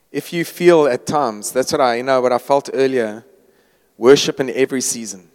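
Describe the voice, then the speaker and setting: A man's plain, everyday voice, a plain, everyday voice at a medium pitch and moderate pace, with ordinary pitch variation and a dry, close sound with no echo. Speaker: worship leader. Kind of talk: prayer and closing remarks. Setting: church gathering.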